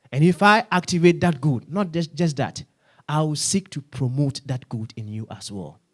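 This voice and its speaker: A man speaks at a moderate pace and a fairly high pitch, somewhat breathy, with big swings in loudness. The recording is very clean with a silent background, and the sound is dry and close with no echo. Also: lively intonation. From Ghana. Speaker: pastor. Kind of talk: sermon. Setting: church.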